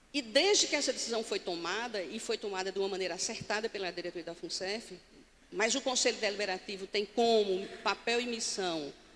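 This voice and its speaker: Medium-pitched woman's voice at a fairly quick pace with ordinary pitch variation. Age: 60s. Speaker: pension fund board chair. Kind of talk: conference talk. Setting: stage with audience. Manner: standing, addressing audience directly.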